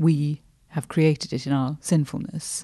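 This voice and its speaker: Very deep, low pitch from a woman, dark and mellow in tone. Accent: British. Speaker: podcast co-host, theologian. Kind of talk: casual discussion.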